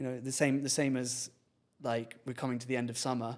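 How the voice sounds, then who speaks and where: Fairly quick delivery comes with fairly even intonation. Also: man. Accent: London. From England, London. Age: 30s. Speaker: filmmaker and content creator. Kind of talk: podcast interview, casual chat. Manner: halting, many restarts.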